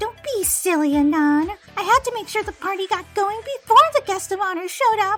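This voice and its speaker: With faint music in the background, a female-sounding voice performs a put-on character voice at an extremely high pitch. The delivery moves at a fairly quick pace. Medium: audio drama. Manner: bubbly, energetic.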